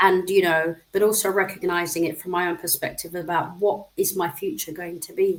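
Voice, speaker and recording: At a fairly quick pace with hardly any pauses, a woman speaks in an unremarkable speaking voice, medium in pitch with fairly even intonation. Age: 60s. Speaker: social care professional. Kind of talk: interview.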